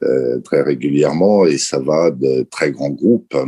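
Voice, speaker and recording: A man at a fairly slow pace, ordinary pitch variation, the sound dry and close with no echo. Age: 60s. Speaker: company chairman. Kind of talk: interview.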